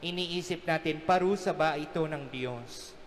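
A man with a fairly high pitch. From Philippines. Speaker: priest. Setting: church during Mass. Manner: warm, earnest, conversational; gently humorous, explaining with everyday examples. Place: church. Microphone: podium.

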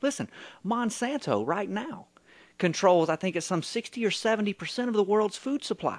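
Against a quiet background, a man with a high pitch speaks at a fairly slow pace in an American accent. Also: ordinary pitch variation. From US South. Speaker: radio co-host and writer; radio co-host. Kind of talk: talk radio call-in show. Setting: radio studio. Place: studio.

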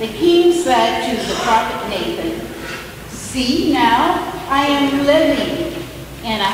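Over noticeable background noise and strong room echo, a woman speaks very slowly in a high pitch. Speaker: scripture reader. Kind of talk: scripture reading. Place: church. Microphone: podium.

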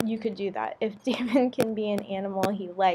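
A passage is read aloud naturally.

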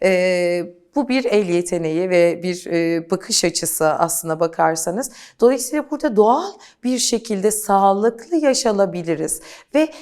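A woman's medium-pitched, unremarkable speaking voice, fairly slow and with lively intonation. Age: 40s. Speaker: beauty coach. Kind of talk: interview.

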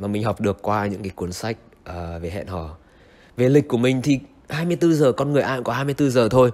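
Pitch moves up and down in a normal way. The delivery is neither fast nor slow. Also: man. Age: 20s. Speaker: vlogger. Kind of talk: vlog monologue. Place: home room. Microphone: handheld.

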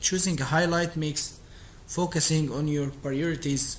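Audible room echo surrounds this recording. A man with an Arabic accent speaks at a fairly high pitch. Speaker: streamer practicing English. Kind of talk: reading aloud. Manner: halting.

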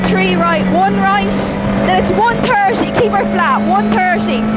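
There is loud background noise behind a woman's voice, which sounds dry with no echo. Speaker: rally co-driver. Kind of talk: rapid-fire rally pace notes called to the driver. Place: car. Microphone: helmet.

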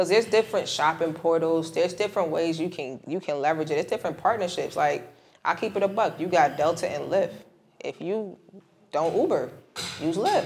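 A woman speaks fairly quickly in a normal speaking voice, with a fairly low pitch and ordinary pitch variation, over light background noise. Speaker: credit and travel expert, middle school teacher. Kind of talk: casual podcast interview. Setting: recorded on site at a conference. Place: studio.

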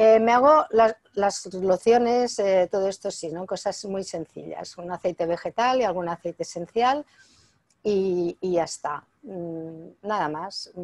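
Her loudness swinging widely, a woman talks at a fairly slow pace with a medium pitch and ordinary pitch variation. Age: 60s. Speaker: author and natural health expert; interviewee. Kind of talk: interview. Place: home room. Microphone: earbuds.

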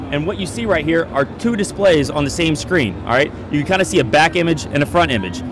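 There is noticeable background noise behind a man's voice. The sound itself is dry, with no echo. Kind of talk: product demo explanation. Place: hall. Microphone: handheld.

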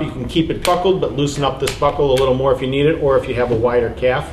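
A man speaks at a medium pitch over clear background noise.

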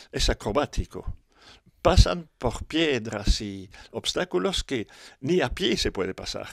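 A man speaks at a fairly slow pace with lively intonation and vocal fry. The sound is dry with no echo, and the background is quiet. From Europe. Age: 70s. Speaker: motocross pioneer and organizer. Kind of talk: interview. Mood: nostalgic, calm. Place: home room. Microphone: handheld.

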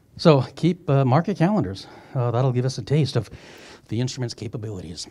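This man's voice is somewhat breathy with a dark, mellow tone, and he talks at a fairly quick pace. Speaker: planetarium staff host. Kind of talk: event introduction and moderation. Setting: stage with audience. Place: hall.

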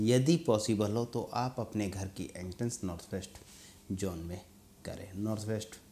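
A man's fairly low, somewhat breathy voice with a dark, mellow tone, fairly slow, over light background noise. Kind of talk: advice talk to camera. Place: studio. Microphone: lapel.

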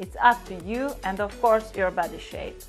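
Music plays behind a woman with a strong Hungarian accent and a fairly high pitch. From Hungary. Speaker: makeup artist and stylist. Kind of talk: style tips talk to camera.

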